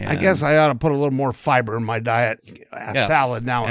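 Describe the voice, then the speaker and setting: Noticeable background noise fills the recording. A man speaks very fast at a medium pitch with ordinary pitch variation. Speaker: podcast co-host. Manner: joking, casual.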